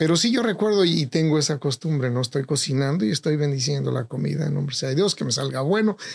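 A man's fairly high, somewhat breathy voice with lively intonation at a very fast pace. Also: hardly any pauses. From Mexico, Jalisco (Tecolotlán). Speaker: chef and restaurant owner. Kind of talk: casual interview.

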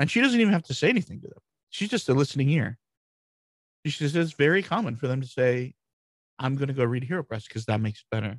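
A man's very fast, somewhat breathy delivery in an American accent, with lively intonation, long, frequent pauses and a dry, close sound with no echo. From Michigan, US Midwest. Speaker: WordPress strategist and blog founder. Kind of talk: casual interview.

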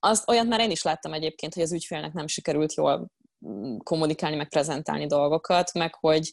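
A woman's very deep, low pitch at a fairly quick pace, with a dry, close sound with no echo on a very clean recording with a silent background. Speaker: data scientist. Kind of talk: interview.

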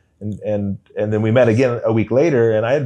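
A man talks very fast with an American accent. His pitch is medium, with ordinary variation. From Boise, Idaho. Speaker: music festival founder and concert promoter. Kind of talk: casual chat.

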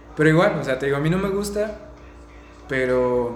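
With music in the background and audible room echo, a man speaks at a fairly high pitch. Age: 20s. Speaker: podcast co-host, psychology student. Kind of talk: casual chat.

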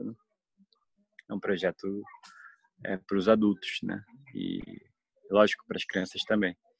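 A man talks at a moderate pace, his voice sounding dry and close with no echo. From Brazil. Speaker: history teacher, alternative education project member. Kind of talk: interview conversation.

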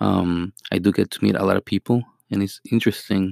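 A man with a Mexican accent speaks in a very deep, low voice with a dark, mellow tone and fairly even intonation, the sound dry and close with no echo. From Mexico. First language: Spanish. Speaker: beginner podcaster and marketing rep. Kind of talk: solo monologue, casual self-introduction. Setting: home-recorded, low quality audio. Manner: halting, many filler words.

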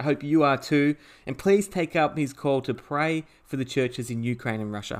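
Speaking at a fairly quick pace, a man uses a plain, everyday voice with fairly high pitch and ordinary pitch variation. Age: 40s. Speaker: podcast host. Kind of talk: casual chat.

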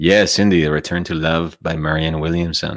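This man's voice sits very deep and low. He delivers every line flat, in a monotone. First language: Spanish. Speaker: meditation teacher. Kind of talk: livestream talk and guided meditation. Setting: online livestream. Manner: soft-spoken.

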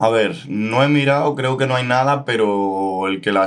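A man's unremarkable speaking voice at a medium pitch and moderate pace, over a quiet background. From Spain, Ávila. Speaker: rapper. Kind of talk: casual chat.

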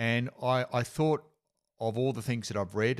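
Fairly slow speech from a medium-pitched man with an Australian accent, in a very clean recording with a silent background. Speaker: podcast host. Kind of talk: interview.

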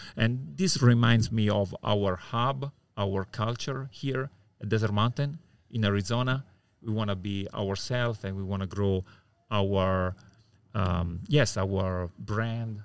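A man with an Italian accent and a fairly low pitch speaks very slowly, with ordinary pitch variation, on a very clean recording with a silent background. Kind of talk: casual interview. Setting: poolside outdoors.

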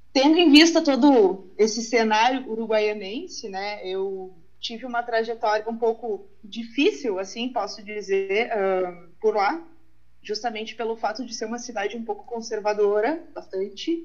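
Using an ordinary speaking voice, a woman talks at a fairly slow pace and a fairly high pitch, with ordinary pitch variation and big swings in loudness. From southern Brazil, Uruguaiana on the Argentine border. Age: 30s. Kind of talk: casual chat. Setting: remote recording.

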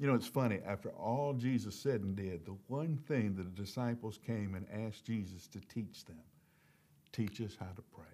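This man has a fairly low pitch and a dark, mellow tone, speaking with a Southern US accent at a moderate pace. His pitch varies in an ordinary way while his loudness swings widely. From US South. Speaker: devotional speaker. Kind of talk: devotional talk.

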